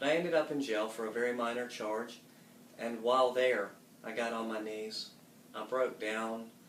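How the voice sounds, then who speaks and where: A man with a Southern US accent, medium pitch and fairly even intonation at a moderate pace, with audible room echo and noticeable background noise. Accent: Southern US (Georgia). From US South, Marietta, Georgia. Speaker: church member giving testimony. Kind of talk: testimony.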